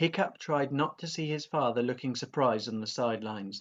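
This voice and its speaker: Soft-spoken, a man talks at a moderate pace and medium pitch. His pitch varies in an ordinary way. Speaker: primary school teacher. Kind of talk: reading aloud. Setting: at home.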